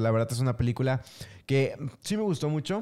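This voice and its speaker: Speaking with a Mexican accent at a moderate pace, a man has a medium pitch and a dark, mellow tone on a very clean recording with a silent background. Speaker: podcast co-host. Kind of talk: casual chat.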